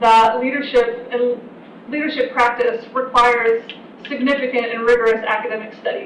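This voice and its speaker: A woman with a high-pitched voice speaks amid noticeable background noise and audible room echo. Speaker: university program director. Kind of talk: information session presentation. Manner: fast.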